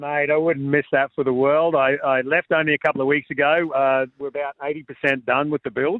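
A man's fairly high, monotone voice with flat intonation and an Australian accent, at a moderate pace with hardly any pauses. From Queensland, Australia (Cairns). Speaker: trail builder. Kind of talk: radio interview.

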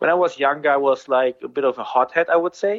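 In an ordinary speaking voice, a man talks at a fairly quick pace with ordinary pitch variation. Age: 30s. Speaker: racing driver. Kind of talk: interview.

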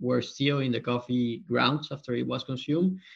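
At a fairly slow pace, a man with a Spanish accent speaks with fairly even intonation. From Colombia. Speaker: company co-founder and CEO. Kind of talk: casual interview.

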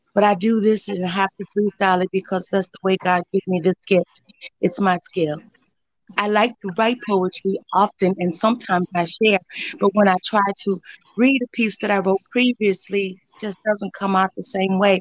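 A woman with an American accent speaks at medium pitch and a moderate pace, with fairly even intonation. The sound is dry and close with no echo, an unremarkable speaking voice. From Joliet, Illinois, US Midwest. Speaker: poet and former preschool teacher. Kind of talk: spoken word poetry, freestyle. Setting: online live stream.

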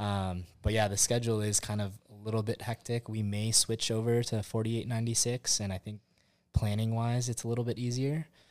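At a fairly quick pace, a man speaks in an American accent with monotone, flat intonation. The recording is very clean, with a silent background. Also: medium pitch for a man. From Southern California, Orange County. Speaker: firefighter and gambler. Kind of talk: casual chat.

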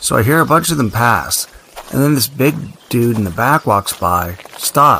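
Lively intonation in plain reading aloud

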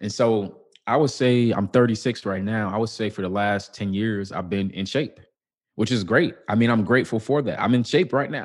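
With an American accent, a man uses a plain, everyday voice at a medium pitch with ordinary pitch variation over a quiet background. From US Midwest, Chicago. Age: 30s. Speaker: author and public speaker. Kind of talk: casual interview.

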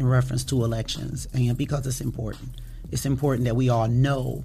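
Amid audible room echo, a woman with an American accent speaks in a very deep, low pitch with monotone, flat intonation. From Toledo, Ohio. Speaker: elections official. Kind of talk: interview. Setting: studio.

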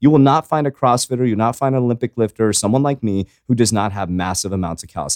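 A man's very fast pace and lively intonation in a very clean recording with a silent background. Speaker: podcast host, fitness coach. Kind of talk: casual, frequent profanity. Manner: fast talker; energetic, motivational.

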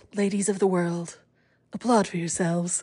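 A woman speaks in an animated tone. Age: 40s. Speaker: podcast host. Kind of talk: casual monologue.

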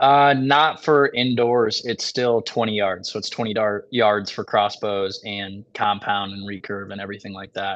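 In an ordinary speaking voice, a man with an American accent talks at a fairly slow pace and fairly low pitch. His intonation is fairly even, and the background is quiet. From Michigan. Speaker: professional archer and hunting video creator. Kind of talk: casual podcast interview.

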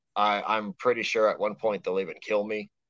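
In an ordinary speaking voice with an American accent, a man speaks at a fairly quick pace and fairly low pitch, with fairly even intonation and a dry, close sound with no echo. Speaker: podcast guest. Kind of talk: casual chat. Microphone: bad connection, robotic sound early on.

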